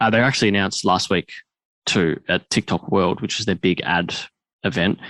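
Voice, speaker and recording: With an Australian accent, a man speaks at a moderate pace and fairly low pitch with ordinary pitch variation, the sound dry and close with no echo over a quiet background. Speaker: podcast host. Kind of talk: podcast interview talk.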